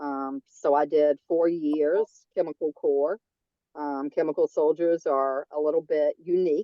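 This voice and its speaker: A woman's very deep, low voice keeps a fairly even intonation. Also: fairly slow pace. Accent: strong Southern US. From North Carolina. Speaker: veterans' agent, army veteran. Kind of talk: public meeting remarks. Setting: video call.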